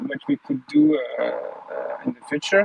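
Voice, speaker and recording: Noticeable background noise fills the clip. Through it, a man is talking. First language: not English. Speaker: audience member in live audio room. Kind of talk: casual chat. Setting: online audio room. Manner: halting, many fillers.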